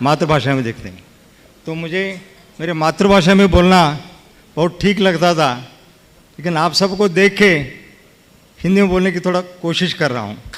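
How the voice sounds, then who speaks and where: A man with a high-pitched voice and a Kannada accent speaks over noticeable background noise. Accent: Kannada-accented Hindi. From Karnataka, India. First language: Kannada (speaking Hindi). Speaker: lawyer and politician, honored guest. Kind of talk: speech to religious gathering. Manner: halting.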